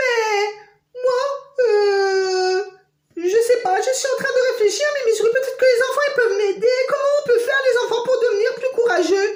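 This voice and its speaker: Her pitch sits extremely high. The woman is doing a put-on character voice. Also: moderate pace. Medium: read story. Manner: hesitant, stammering.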